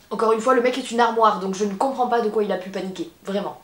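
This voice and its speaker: A woman with a fairly high voice talks through noticeable background noise. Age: 20s. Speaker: YouTuber. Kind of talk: casual storytelling. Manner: casual, conversational.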